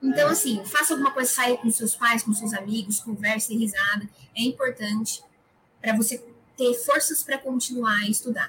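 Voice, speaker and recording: A woman speaks at a moderate pace. She has a normal speaking voice. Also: fairly high pitch for a woman, ordinary pitch variation. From Brazil, interior of São Paulo state (Araras). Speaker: university entrance exam top scorer, future medical student. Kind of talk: casual interview.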